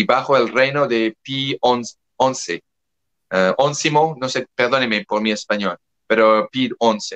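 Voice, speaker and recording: In a French accent, this voice moves at a very slow pace with ordinary pitch variation, the sound dry and close with no echo. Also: man, medium pitch for a man. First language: French (speaking Spanish). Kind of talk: interview. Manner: halting, with self-corrections.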